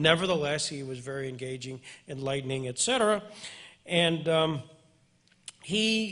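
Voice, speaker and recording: A man's fairly high, bright, sharp voice at a moderate pace, with lively intonation and long, frequent pauses. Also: big swings in loudness. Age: 60s. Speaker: interviewer, attorney. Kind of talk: event introduction to audience.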